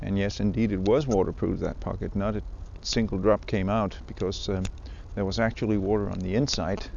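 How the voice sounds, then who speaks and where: A man's fairly low voice with a Danish accent, fairly even intonation and a fairly quick pace. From Denmark. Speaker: fly fishing podcaster. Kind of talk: casual outdoor monologue. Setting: outdoors by the water. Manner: halting, many fillers. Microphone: handheld recorder with zipper clicks and phone noise.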